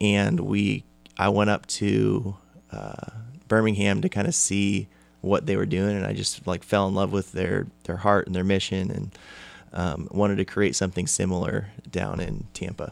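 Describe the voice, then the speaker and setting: A man with a normal speaking voice talks at a moderate pace in a fairly low pitch with an American accent, his intonation fairly even, on a very clean recording with a silent background. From California. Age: 20s. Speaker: baseball academy founder and former college pitcher. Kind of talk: casual interview.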